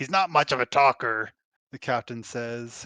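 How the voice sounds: In a natural reading voice with ordinary pitch variation, the speaker reads against a quiet background.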